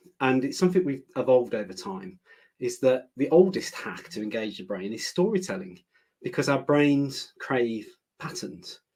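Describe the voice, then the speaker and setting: A man with a British accent at a moderate pace, medium in pitch, with very wide pitch swings. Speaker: learning director presenter. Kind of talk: webinar presentation. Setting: online webinar.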